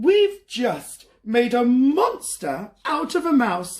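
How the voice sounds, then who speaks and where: A man puts on a character voice at an extremely high pitch. He speaks at a very slow pace with very wide pitch swings. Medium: read story. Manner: self-assured, knowing.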